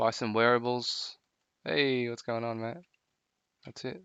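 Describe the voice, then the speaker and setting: A man with an Australian accent speaks at a medium pitch. His pace is fairly slow, and his loudness swings widely. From Melbourne, Australia. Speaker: live streamer in virtual world. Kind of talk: casual live-stream chat.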